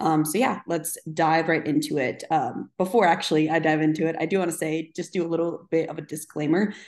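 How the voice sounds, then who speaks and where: Her voice fairly low and her intonation fairly even, a woman with an unremarkable speaking voice speaks at a fairly quick pace with hardly any pauses against a quiet background. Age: 20s. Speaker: fitness coach and podcast host. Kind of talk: casual solo monologue. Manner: casual, filler-heavy.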